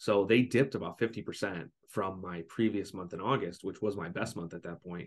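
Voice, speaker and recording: In an unremarkable speaking voice, someone talks at a fairly quick pace with hardly any pauses. Pitch variation is ordinary, with big swings in loudness. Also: man, fairly low pitch for a man. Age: young. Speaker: young online seller and social media creator. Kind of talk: casual interview.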